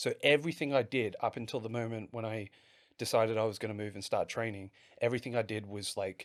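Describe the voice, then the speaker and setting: A man with an Australian accent, medium pitch, fairly even intonation and a very fast pace, in a very clean recording over a silent background. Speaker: pro wrestler. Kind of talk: interview chat. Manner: halting.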